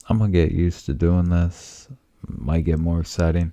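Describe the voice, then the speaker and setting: Soft-spoken, a man talks in a very deep, low voice with a dark, mellow tone. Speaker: home cooking vlogger. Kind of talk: casual cooking tutorial. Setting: home studio.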